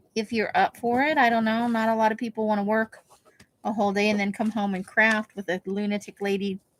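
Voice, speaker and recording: A woman with a plain, everyday voice, fairly high pitch, fairly even intonation and a fairly quick pace, in a dry, close sound with no echo. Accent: American. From United States, military family. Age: 50s. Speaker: craft livestreamer. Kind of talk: casual chat. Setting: livestream.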